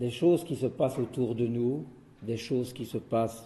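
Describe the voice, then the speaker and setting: Somewhat breathy and dark, mellow in tone, a man speaks at a very slow pace with medium pitch and ordinary pitch variation. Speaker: chemist giving a talk on rituals. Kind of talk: lecture.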